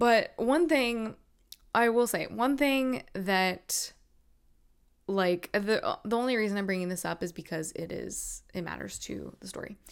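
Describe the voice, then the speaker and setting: In an American accent, a woman with an unremarkable speaking voice talks at a medium pitch and a fairly slow pace. Her intonation is lively, her loudness swings widely, and the recording is very clean against a silent background. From North Carolina. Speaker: podcast host, fitness competitor. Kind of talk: solo podcast storytelling. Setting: video recording at laptop.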